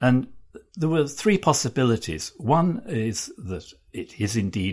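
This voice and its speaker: Over a very clean recording with a silent background, a somewhat breathy man's voice makes very wide pitch swings. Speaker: art journalist. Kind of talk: interview. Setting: office. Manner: halting, many fillers.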